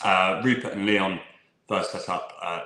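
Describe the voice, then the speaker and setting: Speaking with an English accent, a man talks at a moderate pace with a fairly low pitch. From England. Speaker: whisky sales manager. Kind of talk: live online tasting presentation. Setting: live online stream.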